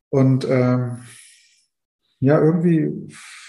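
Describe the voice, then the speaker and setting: The man's voice is somewhat breathy with a dark, mellow tone and fairly even intonation, and there is audible room echo. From East Germany. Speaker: death doula and grief counselor. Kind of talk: podcast interview.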